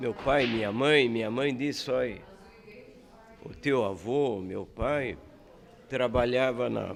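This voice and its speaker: Audible room echo surrounds a man who speaks at a very slow pace with long, frequent pauses, using a medium pitch and ordinary pitch variation. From southern Brazil, Paraná. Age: 80s+. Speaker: bar owner and former politician. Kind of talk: casual interview chat.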